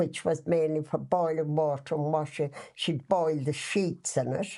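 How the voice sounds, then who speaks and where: In an Irish accent, a woman with a very deep, low pitch speaks at a moderate pace in a flat monotone against a quiet background. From west of Ireland. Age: 80s+. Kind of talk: casual reminiscing interview answer.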